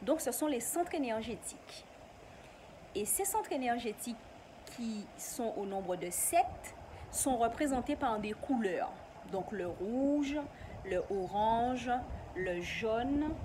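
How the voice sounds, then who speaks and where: Over noticeable background noise, a woman talks very slowly in a high pitch, with long, frequent pauses and very wide pitch swings. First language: not French (an ancestral local language) (speaking French). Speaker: YouTuber. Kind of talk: casual vlog explanation.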